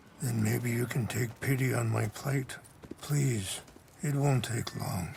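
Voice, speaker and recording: A man puts on a raspy character voice at a medium pitch. His pace is fairly slow, with clear background noise behind him. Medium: video game. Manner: soft-spoken, measured.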